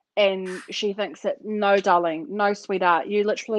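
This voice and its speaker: At a fairly slow pace, a woman with a New Zealand accent speaks at medium pitch with fairly even intonation, in a dry sound with no echo over a quiet background. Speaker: podcast co-host. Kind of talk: casual chat. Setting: video call. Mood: blunt, sarcastic, animated. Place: home room. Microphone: webcam.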